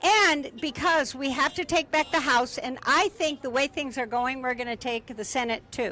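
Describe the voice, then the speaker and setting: Over noticeable background noise, a woman with a high pitch and a raised, projected voice uses lively intonation at a moderate pace, with hardly any pauses. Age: 70s. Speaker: protest organizer. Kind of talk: street interview. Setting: outdoors at a rally. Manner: animated.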